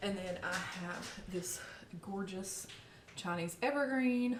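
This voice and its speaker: Upbeat in tone, a woman with a Southern US accent speaks with ordinary pitch variation against noticeable background noise. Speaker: plant vlogger, Pinterest marketer. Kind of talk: casual talk to camera. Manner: upbeat, chatty.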